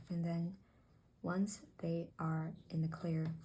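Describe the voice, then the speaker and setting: A woman speaks in a fairly low, somewhat breathy voice with a dark, mellow tone and flat, monotone intonation. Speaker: tarot reader. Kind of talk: tarot reading to camera. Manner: halting; soft-spoken.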